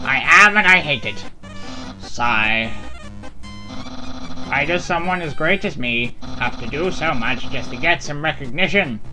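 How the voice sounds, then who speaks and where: Over loud music in the background, a put-on character voice with low-to-middle pitch moves at a fairly slow pace with long, frequent pauses. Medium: game stream. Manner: loud, pompous, dramatic.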